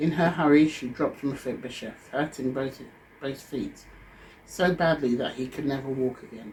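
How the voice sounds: The voice heard here is a natural reading voice.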